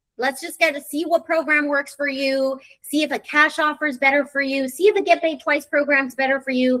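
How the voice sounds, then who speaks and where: Her pitch is high for a woman. She talks at a fairly quick pace. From military brat, moved around. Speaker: real estate sales director. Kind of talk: live webinar presentation. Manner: fast.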